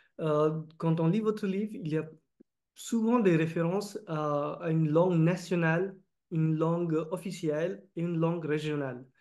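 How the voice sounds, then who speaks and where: The speaker has a Marathi accent and a dark, mellow tone. The pace is fairly slow. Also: man. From India, Maharashtra (Vidarbha). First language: Marathi (speaking French). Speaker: interviewer, engineer. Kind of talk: interview. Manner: halting, many hesitations.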